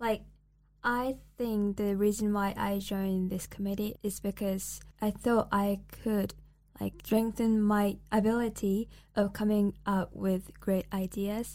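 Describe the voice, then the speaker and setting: A woman's fairly slow, flat, monotone voice at a medium pitch, dark and mellow in tone, on a very clean recording with a silent background. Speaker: student podcast host. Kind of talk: casual chat.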